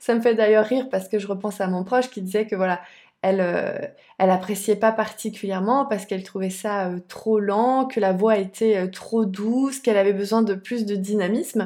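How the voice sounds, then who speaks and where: This woman's voice has a dark, mellow tone at a medium pitch. Her intonation is fairly even. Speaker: sophrologist and podcast host. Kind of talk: casual video monologue. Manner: slower, softer voice when guiding sessions.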